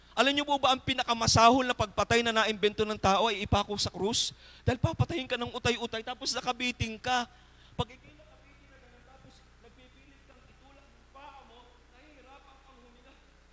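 A man's raised, projected voice, extremely high in pitch, bright and sharp yet warm in tone, very fast with fairly even intonation, over light background noise. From Philippines. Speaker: preacher. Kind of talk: sermon. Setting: church. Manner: fervent, emphatic, pulpit-style exhortation; polite, warm, with congregation call-and-response. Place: church. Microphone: handheld.

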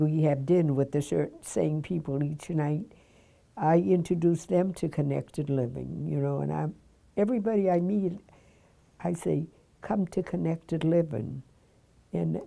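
Speaking at a fairly slow pace, a woman uses a very deep, low pitch with very wide pitch swings. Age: 80s+. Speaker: retirement community resident. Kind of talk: interview answer. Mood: warm, enthusiastic. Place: home room. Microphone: lapel.

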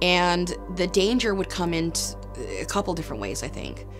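Over clear background music, a woman talks at a moderate pace. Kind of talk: interview answer. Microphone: lapel.

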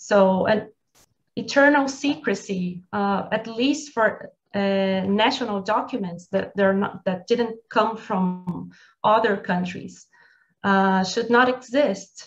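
Speaking at a very slow pace, a woman with a Portuguese accent sounds somewhat breathy and shows ordinary pitch variation. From Brazil. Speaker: military college professor; webinar panelist. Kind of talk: webinar presentation. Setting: video call. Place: home room. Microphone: video call.

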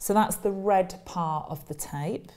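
With light background noise behind her, a woman speaks in a fairly low pitch. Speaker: presenter. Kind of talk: tutorial. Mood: friendly, calm. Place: studio. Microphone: lapel.

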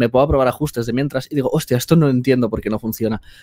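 A man talks at a very fast pace, the sound dry with no echo and the background quiet. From Spain. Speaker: video editor and filmmaker; guest. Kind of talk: interview conversation. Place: home room. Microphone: headset.

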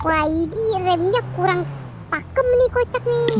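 A woman speaks in a squeaky, put-on character voice at a moderate pace. Loud background noise fills the clip. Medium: machinima. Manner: casual Jakarta slang, keeps saying "kocak", calls the boss "Bang".

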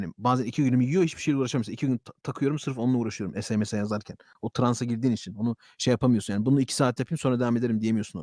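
A man's medium-pitched voice at a very fast pace, with ordinary pitch variation and a dry, close sound with no echo. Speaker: YouTuber / streamer. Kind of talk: casual monologue to camera. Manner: animated.

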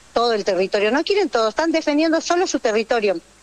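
A woman talks at a very fast pace in a high pitch. The sound is dry and close with no echo, though there is noticeable background noise. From Jujuy, northwest Argentina. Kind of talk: radio interview.

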